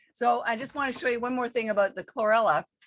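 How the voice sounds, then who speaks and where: Her tone animated, a woman speaks with ordinary pitch variation. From Canada. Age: 60s. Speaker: company founder and wellness entrepreneur. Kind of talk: interview.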